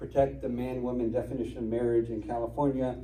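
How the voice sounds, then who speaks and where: A man talks at a fairly quick pace, with audible room echo in the recording. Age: 50s. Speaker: constitutional attorney. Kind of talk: talk to an audience. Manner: fast.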